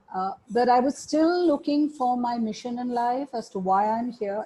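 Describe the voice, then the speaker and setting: Lively intonation in a woman's somewhat breathy voice, her pace moderate. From India. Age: 60s. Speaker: meditation teacher. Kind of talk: interview.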